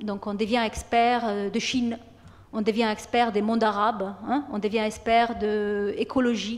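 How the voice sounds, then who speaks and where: Fairly high-pitched female voice at a fairly slow pace. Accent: Italian. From Italy. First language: Italian (speaking French). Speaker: university lecturer. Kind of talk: program presentation to students. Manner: hesitant, many fillers and repetitions.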